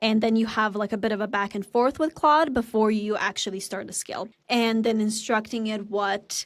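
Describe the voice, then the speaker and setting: A woman speaks in a Serbian accent at medium pitch with fairly even intonation. The recording is very clean, with a silent background. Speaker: marketer and podcast co-host. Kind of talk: casual tutorial chat.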